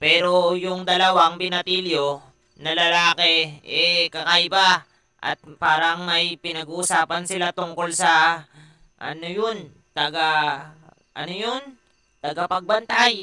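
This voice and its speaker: In a cartoonish character voice, a man talks at a very slow pace with a high pitch. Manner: servile, hesitant.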